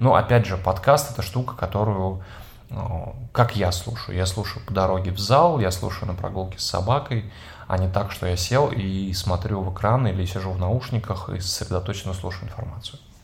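With audible room echo and noticeable background noise, a man speaks at a moderate pace in a very deep, low voice with ordinary pitch variation. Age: 30s. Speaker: podcast host, former radio host and PR specialist. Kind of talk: casual chat.

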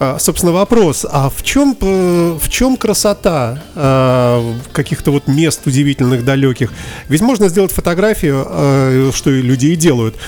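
Over music in the background, a man with a fairly high voice talks at a moderate pace, his intonation lively and his loudness very even. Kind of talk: radio interview. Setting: studio.

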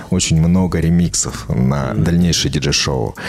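Over music in the background, a man speaks at a very deep, low pitch with audible room echo. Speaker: singer-songwriter and DJ. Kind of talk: interview. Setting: studio.

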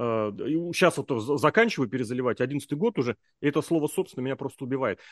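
A man at a very fast pace with lively intonation, dry, close sound with no echo, and a quiet background. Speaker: podcast host. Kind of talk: casual chat.

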